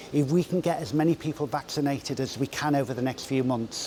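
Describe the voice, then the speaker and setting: A man with a normal speaking voice talks at a moderate pace, his fairly high pitch carried by fairly even intonation. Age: 60s. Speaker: public health director. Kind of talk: interview.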